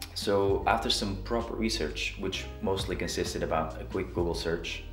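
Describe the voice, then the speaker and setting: The recording has audible room echo. Clear music plays in the background. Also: man. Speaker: photography vlogger. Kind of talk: casual vlog chat. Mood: relaxed, lightly humorous. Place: home room.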